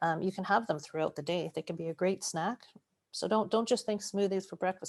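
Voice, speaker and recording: This is a woman talking. Her voice has a medium pitch. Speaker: cancer nutrition educator. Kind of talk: webinar Q&A. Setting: video call webinar. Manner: fast.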